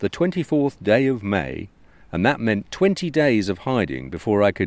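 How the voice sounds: Lively intonation runs through the speech. It comes in a natural reading voice.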